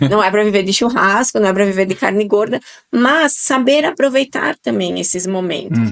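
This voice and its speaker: Medium pitch and lively intonation from a woman, at a moderate pace. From southern Brazil, Italian-descended region. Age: 40s. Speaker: nutrition guest expert. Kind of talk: podcast interview.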